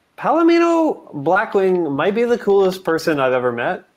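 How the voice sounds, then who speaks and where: A man speaks at a fairly slow pace with a high pitch. His pitch swings very widely. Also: very even loudness. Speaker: comics creator playing a role-playing game. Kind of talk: tabletop role-play. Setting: video call. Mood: comic, ironic. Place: home room. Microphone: video call.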